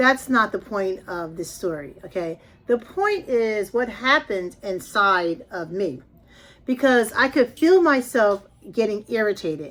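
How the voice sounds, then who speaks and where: A woman talks in a normal speaking voice, pitched fairly high. Her pace is fairly slow and her intonation lively. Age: 60s. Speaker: lifestyle vlogger. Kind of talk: personal storytelling vlog. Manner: conversational.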